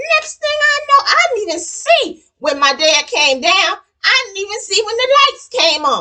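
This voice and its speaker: A woman's raised, projected voice, bright and sharp in tone, animated, with very wide pitch swings. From New York (Queens). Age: 60s. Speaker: cooking channel host. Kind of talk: casual storytelling during cooking demo.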